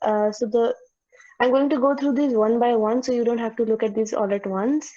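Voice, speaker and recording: This woman talks at a fairly quick pace with a fairly high pitch. Her tone is dark and mellow. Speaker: student tutor. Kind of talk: online tutorial. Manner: fast; halting.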